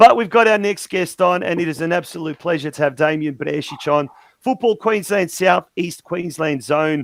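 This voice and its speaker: A man with an Australian accent talks at a fairly quick pace. His high voice has ordinary pitch variation. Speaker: soccer show host. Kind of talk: casual interview.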